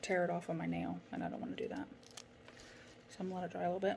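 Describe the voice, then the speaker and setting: Noticeable background noise around a woman speaking at a medium pitch. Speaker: nail product seller. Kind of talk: tutorial.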